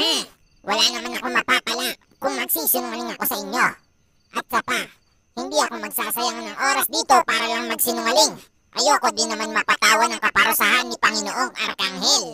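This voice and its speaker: Someone performs a cartoonish character voice at a fairly high pitch and a fairly quick pace. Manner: measured, with thoughtful humming.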